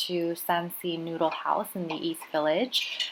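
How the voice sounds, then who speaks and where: Her pitch sits in the medium range. The woman talks with an American accent. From California. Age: 20s. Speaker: lifestyle vlogger. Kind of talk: casual vlog narration.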